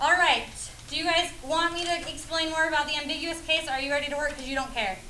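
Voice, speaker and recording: A woman speaks at a very fast pace in a raised, projected voice at extremely high pitch. Audible room echo and noticeable background noise fill the recording. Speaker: high school math teacher. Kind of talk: classroom lesson. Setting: classroom with students. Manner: animated.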